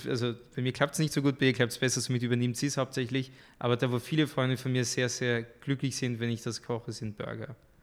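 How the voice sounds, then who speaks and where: A man with a French accent talks at a fairly quick pace in a medium pitch, his intonation monotone and flat, on a very clean recording with a silent background. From France, moved to Austria at 13. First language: French (speaking German). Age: young. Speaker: artist. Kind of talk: podcast interview.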